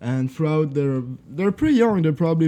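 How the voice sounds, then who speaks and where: A man with a Swiss French accent and a fairly high-pitched voice. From French-speaking Switzerland. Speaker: podcast guest. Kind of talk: casual podcast discussion.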